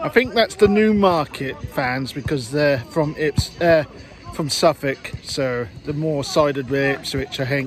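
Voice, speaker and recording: Over faint background music, a man talks at a fairly slow pace with ordinary pitch variation, in a dry sound with no echo. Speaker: football fan vlogger. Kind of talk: casual vlog chat. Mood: cheerful, amused. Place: open country. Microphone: phone near.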